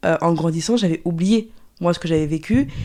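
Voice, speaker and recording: A woman speaks with a dark, mellow tone on a very clean recording with a silent background. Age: 20s. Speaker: fitness coach, trauma survivor. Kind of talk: testimony. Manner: halting.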